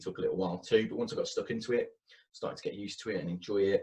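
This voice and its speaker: Delivered at a very fast pace, the speech comes in a Birmingham accent. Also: man. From Birmingham, England. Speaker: university marketing manager. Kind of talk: interview.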